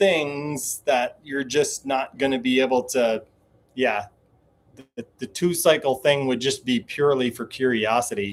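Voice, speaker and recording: This man has an ordinary speaking voice, pitched fairly high, moving at a moderate pace with ordinary pitch variation. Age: 40s. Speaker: DIY bus dweller, YouTuber live streaming. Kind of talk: live stream chat reading viewer comments. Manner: casual, conversational.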